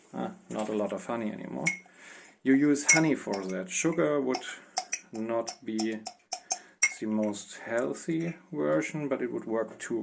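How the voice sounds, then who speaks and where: A man with a non-native accent speaks at a fairly slow pace in a medium pitch, his voice swinging very widely in pitch, with long, frequent pauses and noticeable background noise. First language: not English. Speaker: home cook. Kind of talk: cooking tutorial voiceover. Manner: casual, hesitant.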